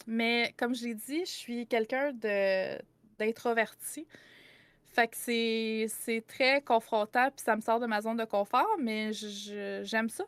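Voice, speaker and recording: At a very slow pace and with fairly even intonation, the voice shows big swings in loudness in a dry, close sound with no echo. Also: woman, fairly high pitch for a woman. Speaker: content creator and game master. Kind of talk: podcast interview.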